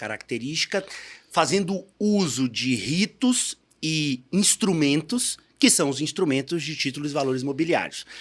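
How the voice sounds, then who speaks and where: Recorded very cleanly against a silent background, a man speaks at a fairly slow pace. His intonation is lively. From Bahia, Brazil. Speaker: financial entrepreneur. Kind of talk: podcast interview. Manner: casual, with many fillers.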